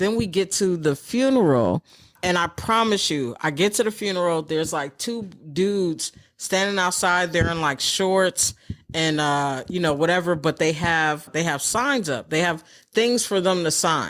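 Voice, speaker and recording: A woman speaks at a moderate pace in an unremarkable speaking voice with an American accent. Her pitch is fairly low and her intonation is lively. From New York City. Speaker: stand-up comedian. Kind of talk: interview answer.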